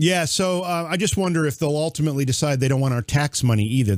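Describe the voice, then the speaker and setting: Fairly quick and fairly high-pitched, a man talks in an unremarkable speaking voice with ordinary pitch variation. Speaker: podcast co-host.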